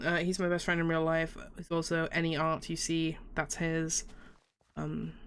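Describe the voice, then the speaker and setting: A woman with a fairly low voice at a fairly slow pace, her loudness very even. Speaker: gaming youtuber. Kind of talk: let's play commentary. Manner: animated.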